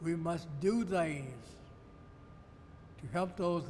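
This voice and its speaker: Very slow, high-pitched speech from a man, ordinary pitch variation, and audible echo in the room. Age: 80s+. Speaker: retired judge. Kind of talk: address to camera. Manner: earnest.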